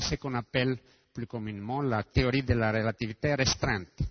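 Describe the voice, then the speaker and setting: A man's medium-pitched voice with a non-native accent. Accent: foreign accent in French. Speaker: physicist. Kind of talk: lecture. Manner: halting.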